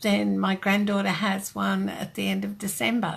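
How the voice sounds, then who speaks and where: A woman with an Australian accent, very deep and low in pitch, with vocal fry, very wide pitch swings and a fairly slow pace. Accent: Australian, noticed by New Zealanders. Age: old. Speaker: card-making demonstrator. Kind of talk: live-streamed craft tutorial chat.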